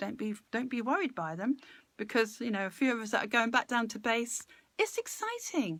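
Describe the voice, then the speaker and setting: On a very clean recording with a silent background, a woman speaks at a moderate pace and fairly high pitch, her tone warm and animated and her intonation lively. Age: 60s. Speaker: live-stream speaker on personal growth. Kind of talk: casual live-stream talk with viewer interaction. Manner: chatty, warm and animated.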